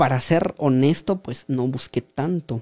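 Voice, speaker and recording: Speaking very slowly, a man has a medium pitch, a dark, mellow tone and ordinary pitch variation. The very clean recording has a silent background and a dry, close sound with no echo. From Guatemala, rural village. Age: 30s. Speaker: writer and speaker. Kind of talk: interview. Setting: studio.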